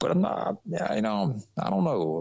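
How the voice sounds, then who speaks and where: The speaker has a Southern US accent and moves at a moderate pace. Their pitch swings very widely. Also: man. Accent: Southern country. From US South, Atlanta, Georgia. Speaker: actor. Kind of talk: interview conversation.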